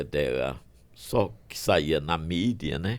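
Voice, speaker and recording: A man speaks with a very deep, low pitch, lively intonation and vocal fry. The recording is very clean, with a silent background. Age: 70s. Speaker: physician. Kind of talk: podcast interview.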